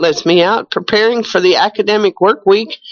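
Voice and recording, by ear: This woman speaks at a moderate pace with medium pitch and ordinary pitch variation.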